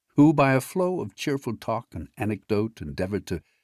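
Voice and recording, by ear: The speaker is reading aloud in a natural voice. Pitch rises and falls in a lively way.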